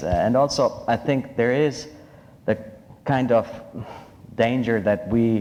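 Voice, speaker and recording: The voice has a dark, mellow tone and a non-native accent. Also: man. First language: not English. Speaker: philosophy scholar. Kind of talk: panel discussion.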